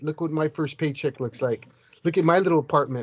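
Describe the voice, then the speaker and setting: Against a quiet background, a man talks in a fairly high pitch with ordinary pitch variation. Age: 60s. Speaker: peer advocate, parent. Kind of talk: podcast panel chat. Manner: halting, repetitive.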